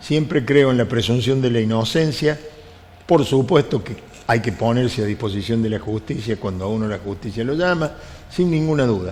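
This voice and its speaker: Over noticeable background noise, a man of medium pitch talks at a moderate pace with lively intonation. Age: 70s. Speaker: union leader. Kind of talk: interview.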